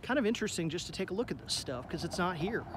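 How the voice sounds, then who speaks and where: A man talks with ordinary pitch variation in a dry sound with no echo, over light background noise. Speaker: vlogger documenting an abandoned plant. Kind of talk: casual vlog chat. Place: street. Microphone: phone near.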